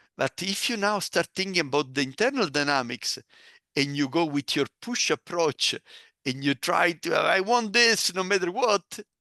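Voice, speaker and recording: At a moderate pace, a man with a non-native accent speaks in a bright, sharp tone with lively intonation, recorded dry and close with no echo against a quiet background. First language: not English. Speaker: negotiation trainer and author. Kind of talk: interview. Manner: many filler words and hesitations.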